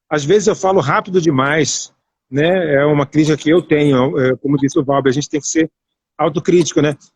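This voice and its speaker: A man's voice, dry and close, with no echo. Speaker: radio broadcaster and journalist. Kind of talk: live online interview. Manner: fast.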